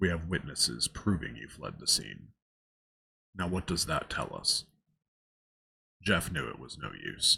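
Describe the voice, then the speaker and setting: The voice has a bright, sharp tone with vocal fry and lively intonation. It moves at a fairly slow pace with long, frequent pauses and big swings in loudness. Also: man, very deep, low pitch for a man. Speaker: story narrator. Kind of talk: ASMR creepypasta reading. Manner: soft-spoken.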